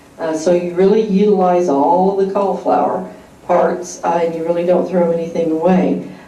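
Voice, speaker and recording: Over noticeable background noise and audible room echo, a woman talks in a fairly low pitch with fairly even intonation. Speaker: cooking class instructor. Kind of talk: cooking class demonstration. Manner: soft-spoken; hesitant, many fillers.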